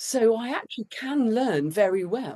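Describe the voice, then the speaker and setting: Her fairly high voice has a dark, mellow tone and vocal fry, and this woman's pitch swings very widely. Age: 60s. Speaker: children's book author. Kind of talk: interview conversation.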